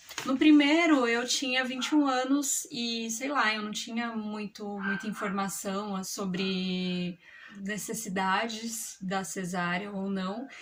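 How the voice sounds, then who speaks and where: Very slow delivery with hardly any pauses, ordinary pitch variation, and noticeable background noise. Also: woman, fairly high pitch for a woman. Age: 30s. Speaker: mother. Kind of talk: personal story told to camera. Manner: casual, conversational.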